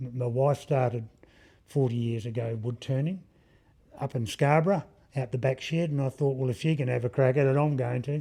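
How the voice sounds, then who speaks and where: A man talks at a fairly quick pace in an Australian accent. His tone is dark and mellow, with fairly even intonation. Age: 70s. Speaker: woodworker and gallery owner. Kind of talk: interview. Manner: halting.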